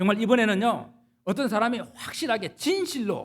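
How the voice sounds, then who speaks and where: A high-pitched male voice at a moderate pace. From South Korea, Gyeongsangnam-do (Jinju). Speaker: pastor. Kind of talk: sermon.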